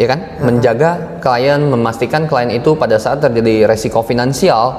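A man's voice at medium pitch with ordinary pitch variation, over noticeable background noise. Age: 20s. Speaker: insurance agency manager. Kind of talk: casual interview.

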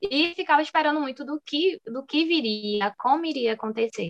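A woman with an unremarkable speaking voice and lively intonation at a moderate pace, dry and close with no echo. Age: 20s. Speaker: dental student and dessert shop owner. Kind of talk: interview.

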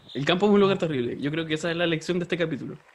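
In a Chilean accent, a man speaks at a very fast pace. His pitch is fairly high, with ordinary pitch variation. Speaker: podcast co-host. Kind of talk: casual comedic chat.

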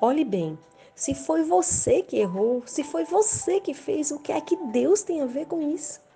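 A woman speaks at a fairly slow pace in a high pitch with very wide swings. Music plays in the background. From Brazil, Rio Grande do Norte. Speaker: evangelical preacher. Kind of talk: sermon.

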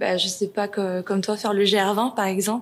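A woman speaks at a moderate pace. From Paris suburbs, France. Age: 20s. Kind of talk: interview. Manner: halting, many hesitations.

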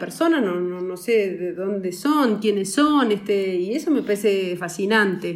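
A woman speaks at a fairly slow pace with a medium pitch and lively intonation. The room echo is audible. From rural Uruguay. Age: 40s. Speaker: film producer. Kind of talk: casual chat. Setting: office, remote call.

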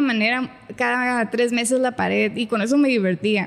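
A woman's high voice moves at a moderate pace, her intonation fairly even. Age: 30s. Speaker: marketing agency owner and musician. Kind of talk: casual interview chat.

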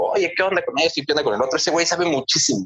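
A man is speaking. He has a Mexican accent. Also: dry, close sound with no echo. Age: 30s. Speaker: photographer. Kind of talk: casual chat.

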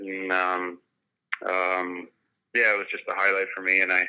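Moderate pace with a Canadian Prairies accent. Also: man. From Saskatchewan, Canada. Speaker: retired pro hockey player. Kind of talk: casual interview.

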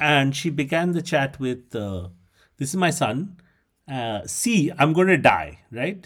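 A man with an Indian accent at a very slow pace. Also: fairly high pitch for a man, lively intonation. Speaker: podcast host. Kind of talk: casual comedic chat. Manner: animated, laughing.

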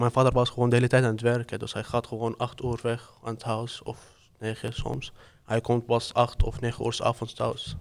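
In an Arabic accent, a man speaks at a moderate pace with a medium pitch and monotone, flat intonation. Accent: Arabic-accented Dutch. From Syria. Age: 20s. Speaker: refugee, student and part-time cook. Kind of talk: casual interview, guided by a card game.

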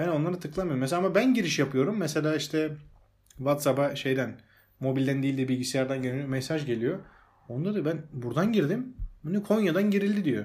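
A fairly high-pitched man speaks at a fairly quick pace with lively intonation. His voice is somewhat breathy, and the room echo is audible. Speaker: podcast host. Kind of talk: casual chat. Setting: at home.

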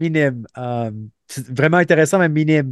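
Against a quiet background, a man speaks at a moderate pace with ordinary pitch variation, the sound dry and close with no echo. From Montreal, Quebec. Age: 30s. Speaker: former special forces soldier and police officer. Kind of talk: interview. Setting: remote call. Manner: halting, many repetitions.

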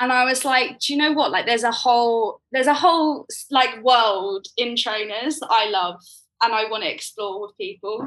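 Against a quiet background, a woman with a London accent speaks at a moderate pace in a high pitch, her intonation lively and her loudness swinging widely. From South London (Croydon). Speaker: poet and theatre maker. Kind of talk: casual interview conversation.

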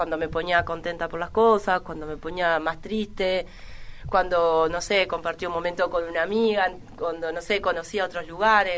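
Her pitch fairly low, a woman speaks at a moderate pace in a monotone, flat intonation. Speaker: rapper. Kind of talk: interview chat.

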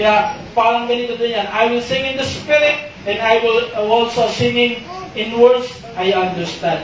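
Clearly audible background noise accompanies delivery that moves rather slowly. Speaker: preacher. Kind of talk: sermon. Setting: online live stream.

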